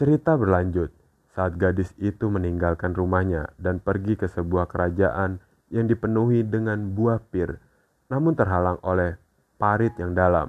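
A man talks at a fairly slow pace. His very deep, low pitch sits against a quiet background. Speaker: podcast host. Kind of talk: scripted narration of horror fairy tales. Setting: podcast recording.

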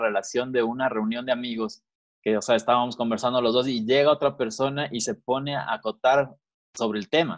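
The speech goes at a fairly quick pace. It is an ordinary speaking voice, and its pitch varies in an ordinary way. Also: man. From Quito, Ecuador. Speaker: podcast co-host, business owner. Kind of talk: casual chat.

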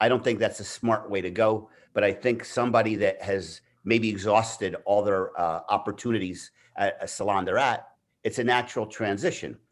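A man talks at a moderate pace and medium pitch in a plain, everyday voice. The recording is very clean, with a silent background. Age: 60s. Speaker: veteran hair stylist and educator. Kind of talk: casual interview chat.

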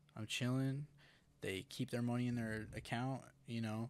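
Moderate pace and fairly even intonation, with an American accent. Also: man. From Utah, Park City area. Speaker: musician. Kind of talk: casual chat.

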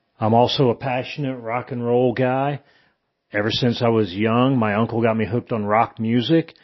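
In an American accent, a man with an ordinary speaking voice talks at a moderate pace and medium pitch, his intonation fairly even. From Indiana, US Midwest. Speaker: retired army veteran. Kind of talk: testimony.

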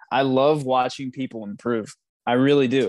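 A man with an unremarkable speaking voice talks at a moderate pace and medium pitch. The sound is dry and close with no echo, over a quiet background. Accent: American. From Pittsburgh, US. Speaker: flight instructor. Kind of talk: casual interview.

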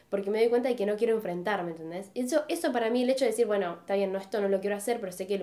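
Her tone is dark and mellow. The woman's pitch is fairly high, with ordinary pitch variation. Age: 20s. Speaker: podcast co-host. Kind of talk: casual chat.

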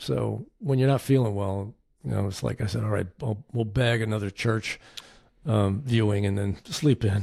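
Somewhat breathy, a man with an American accent speaks at a moderate pace in a fairly low pitch, with a dark, mellow tone and ordinary pitch variation. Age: 60s. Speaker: podcast co-host. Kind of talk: casual chat. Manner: halting, with fillers and repetitions.

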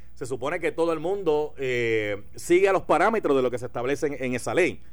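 With a Puerto Rican accent, a man talks at a fairly quick pace, his fairly high voice carrying lively intonation. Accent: Puerto Rican accent when speaking English. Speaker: radio talk show host. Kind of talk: talk radio commentary and interview.

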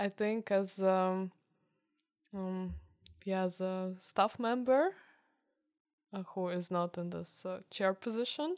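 A woman speaks at a very slow pace in a medium pitch, with fairly even intonation. Her speech has long, frequent pauses. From Ukraine, Kyiv. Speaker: university student. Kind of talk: casual interview. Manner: halting, many fillers.

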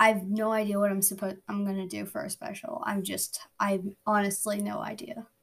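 A woman with a medium pitch speaks at a fairly quick pace, with hardly any pauses. Her voice is somewhat breathy. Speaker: podcast host. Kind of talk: casual update to listeners. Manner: flat, not much emotion.

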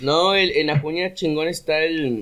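A man at a very slow pace. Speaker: rapper. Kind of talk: casual chat.

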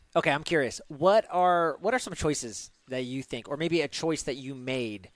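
Speaking at a moderate pace, a man uses lively intonation in a plain, everyday voice. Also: big swings in loudness. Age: 40s. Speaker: podcast host. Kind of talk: podcast interview.

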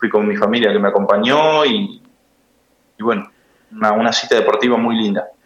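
Talking at a moderate pace, a man leaves long, frequent pauses. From Argentina, Buenos Aires province. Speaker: lawyer and amateur swimmer. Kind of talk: interview. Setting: phone call.

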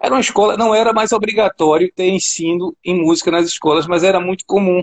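With ordinary pitch variation, a man speaks in a high voice, recorded dry and close with no echo. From Brazil, Recife (Pernambuco). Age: 50s. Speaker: guitarist and music teacher. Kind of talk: casual interview.

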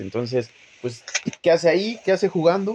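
With a Mexican accent and lively intonation, a man speaks over noticeable background noise. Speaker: sports podcast host. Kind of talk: casual chat.

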